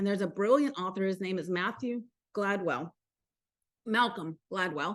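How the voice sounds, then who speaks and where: In a Southern US accent, a woman speaks in an animated tone against a quiet background. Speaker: motivational coach hosting a mastermind call. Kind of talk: live online group call. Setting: live video call.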